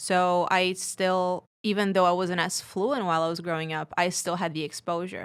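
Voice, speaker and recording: A woman's medium-pitched voice in a Portuguese accent, at a moderate pace with hardly any pauses and fairly even intonation, in a very clean recording with a silent background. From Brazil. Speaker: podcast guest. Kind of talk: casual chat.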